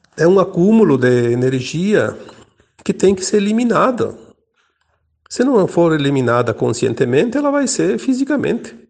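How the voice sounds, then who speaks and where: This man's voice is high, and his pitch swings very widely. He speaks at a moderate pace with long, frequent pauses. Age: 60s. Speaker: spiritual teacher. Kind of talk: spiritual talk.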